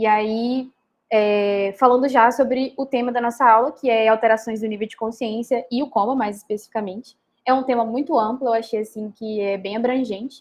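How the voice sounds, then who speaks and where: Speaking with a Minas Gerais accent, a woman has a fairly high pitch. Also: fairly even intonation. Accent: mineiro Brazilian Portuguese. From Minas Gerais, Brazil. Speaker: medical student lecturer. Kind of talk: lecture. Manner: fast; hesitant fillers.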